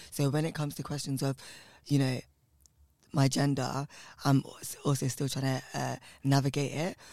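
A man with a London accent speaks at a fairly high pitch and moderate pace. His delivery is flat and monotone, with long, frequent pauses. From West London, England (Southall). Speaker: drag performance artist. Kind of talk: casual interview chat.

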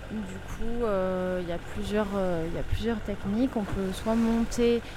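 A woman of medium pitch at a very slow pace with fairly even intonation, audible room echo and noticeable background noise. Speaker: sailboat skipper and owner. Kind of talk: audio diary on board. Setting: on a sailboat at sea.

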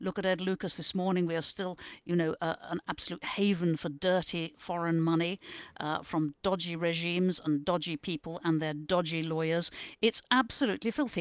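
Speaking at a fairly quick pace, a woman with a British accent has a fairly low pitch. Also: fairly even intonation, dry, close sound with no echo, quiet background. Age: 70s. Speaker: newspaper columnist. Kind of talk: casual panel discussion.

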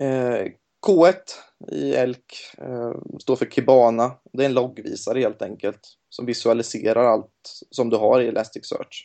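A man at medium pitch with ordinary pitch variation and a fairly slow pace. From Gothenburg, western Sweden. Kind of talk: casual interview. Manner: hesitant, many fillers.

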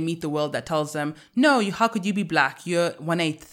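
A woman with a fairly low voice and an unremarkable speaking voice talks at a moderate pace on a very clean recording with a silent background. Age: 20s. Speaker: podcast host. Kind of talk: casual chat.

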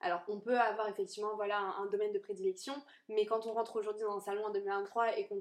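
A woman's fairly high-pitched, normal speaking voice with fairly even intonation. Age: 20s. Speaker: hair colourist. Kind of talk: casual interview. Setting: sofa in a small cosy room.

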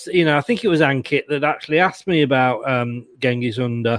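At a moderate pace, a man with an English accent speaks with ordinary pitch variation in a very clean recording with a silent background. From England. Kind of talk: casual chat.

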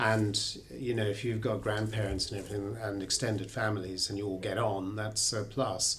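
At a moderate pace, a man with a fairly low pitch and a somewhat breathy voice speaks with fairly even intonation. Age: 60s. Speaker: therapist. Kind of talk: casual chat.

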